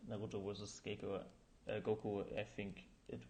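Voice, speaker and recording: German accent, moderate pace and audible room echo. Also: man. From Germany. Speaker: animator streamer. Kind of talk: live stream tutorial. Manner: halting, many fillers.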